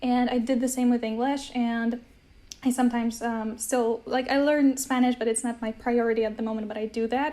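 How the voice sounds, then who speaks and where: A woman's high-pitched, dark, mellow voice in an American accent, monotone and flat in intonation, at a fairly quick pace. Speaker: polyglot, language-learning influencer. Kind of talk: casual interview chat. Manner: hesitant, with fillers.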